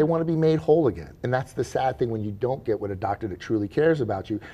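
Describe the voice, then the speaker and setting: Very fast and somewhat breathy, a man speaks with a dark, mellow tone and very wide pitch swings. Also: medium pitch for a man. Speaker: chiropractor. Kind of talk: interview answer.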